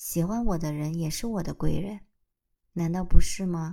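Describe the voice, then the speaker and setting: A woman's fairly low voice with a dark, mellow tone and ordinary pitch variation, in a very clean recording with a silent background. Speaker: solo podcaster. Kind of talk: casual unscripted monologue.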